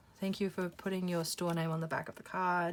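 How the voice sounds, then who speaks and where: In an Australian accent, a woman speaks at a medium pitch on a very clean recording with a silent background. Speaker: YouTuber, photocard collector. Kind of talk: casual vlog chat. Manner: chatty, rambling with fillers.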